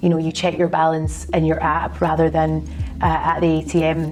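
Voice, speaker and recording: A woman in a Glaswegian accent at a fairly quick pace, with music in the background. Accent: Glaswegian Scottish. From Scotland, Glasgow. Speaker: fintech strategy consultant. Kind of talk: interview. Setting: office.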